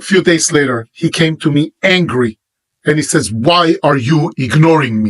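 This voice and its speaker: An Israeli-accented man at a fairly high pitch, moderate pace, ordinary pitch variation and very even loudness, in a dry, close sound with no echo. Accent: Hebrew-accented English. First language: Hebrew. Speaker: religious teacher. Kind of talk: monologue to camera.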